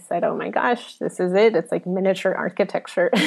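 Noticeable background noise sits behind the speaker. She is a woman with a medium-pitched voice. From Colombia. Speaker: UI and emoji designer. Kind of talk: interview chat.

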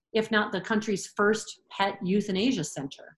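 This woman talks with an American accent at a medium pitch. Her voice is somewhat breathy. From Michigan, US. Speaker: veterinarian. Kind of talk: casual interview.

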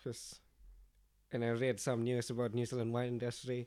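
At a moderate pace, a man talks at a medium pitch in a dark, mellow tone. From Indonesia. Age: 20s. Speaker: winemaker. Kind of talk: interview.

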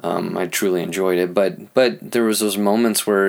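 This man speaks with a fairly low pitch and fairly even intonation. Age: 30s. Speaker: marriage and family therapist, podcast host. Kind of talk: personal monologue. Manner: halting, many fillers; improvised.

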